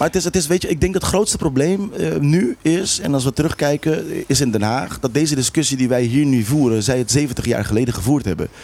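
Speaking at a fairly quick pace with hardly any pauses, a man uses a fairly high pitch, a dark, mellow tone, lively intonation and very even loudness. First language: Papiamentu (speaking Dutch). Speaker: local politician. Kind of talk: heated debate.

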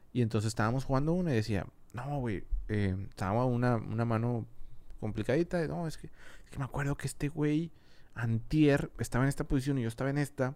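Speaking at a fairly quick pace, a man has an ordinary speaking voice, medium in pitch with ordinary pitch variation. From Mexico, Monterrey. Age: 30s. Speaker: audio engineer and videographer. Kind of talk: casual chat. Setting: studio.

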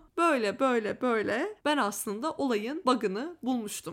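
Recorded very cleanly against a silent background, a woman speaks at a moderate pace in a high voice with lively intonation. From Turkey. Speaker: podcaster. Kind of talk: personal storytelling monologue.

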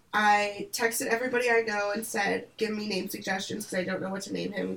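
A woman speaks with an Upper Midwest accent. Her pace is fairly quick. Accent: Upper Midwest American. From Michigan, US Midwest. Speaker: podcast co-host. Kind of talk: casual chat. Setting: video call. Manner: chatty.

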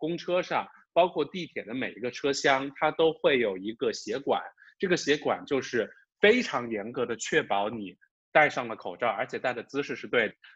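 A man with a fairly high pitch speaks at a moderate pace, his voice showing vocal fry. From China, Wuhan. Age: middle-aged. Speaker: podcast co-host. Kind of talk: casual chat.

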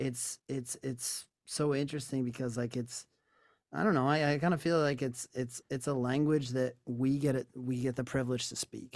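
In a plain, everyday voice, a man with an American accent talks at a moderate pace and medium pitch, his intonation fairly even. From New York. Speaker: singer-songwriter. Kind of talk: casual interview chat. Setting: remote call.

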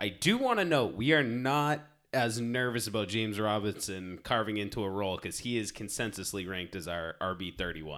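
On a very clean recording with a silent background, a man with an unremarkable speaking voice and fairly low pitch talks with hardly any pauses and ordinary pitch variation. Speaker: fantasy football podcast host. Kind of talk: casual banter about fantasy football.

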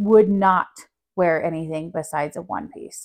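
A woman's unremarkable speaking voice at a moderate pace, with ordinary pitch variation and a quiet background. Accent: American. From New Mexico, US. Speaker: mother and studio co-founder. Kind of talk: casual chat.

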